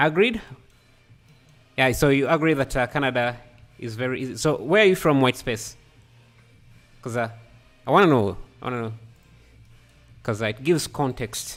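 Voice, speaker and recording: A man at medium pitch and a moderate pace, with ordinary pitch variation and long, frequent pauses, music in the background. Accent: non-native. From Africa. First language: not English. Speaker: 3D artist livestreamer. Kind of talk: live stream tutorial chat. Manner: halting.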